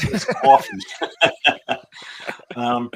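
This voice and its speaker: This man has a British accent, a medium pitch, and a moderate pace. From UK. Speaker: political party volunteer. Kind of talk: interview. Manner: halting, many fillers.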